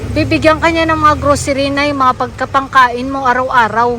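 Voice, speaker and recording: With noticeable background noise behind her, a woman uses a raised, projected, high-pitched voice with fairly even intonation at a fairly quick pace. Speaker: vlogger giving aid. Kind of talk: casual vlog talk. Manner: warm, affectionate.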